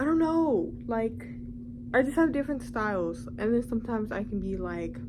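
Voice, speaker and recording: A woman at a moderate pace, with audible room echo. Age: 18. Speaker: beauty vlogger and cosmetology student. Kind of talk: casual vlog chat. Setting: at home, on bedroom floor. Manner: casual, many fillers.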